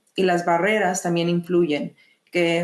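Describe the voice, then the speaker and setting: Fairly low in pitch, a woman talks at a fairly slow pace. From Mexico (Monterrey), moved to US at 7. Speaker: psychologist / mental health clinician. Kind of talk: online webinar presentation. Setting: online video meeting. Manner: hesitant, many fillers and repetitions.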